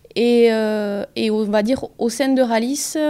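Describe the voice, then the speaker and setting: On a very clean recording with a silent background, a woman speaks very slowly in a monotone, flat intonation at a fairly high pitch. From southwest France (Pyrénées-Atlantiques). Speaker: organic farming advisor. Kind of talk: interview. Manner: hesitant, many fillers.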